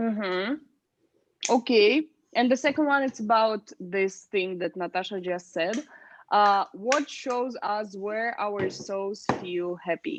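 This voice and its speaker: A woman's very slow, medium-pitched voice with a Russian accent. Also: ordinary pitch variation, quiet background. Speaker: speaking club leader. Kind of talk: casual chat.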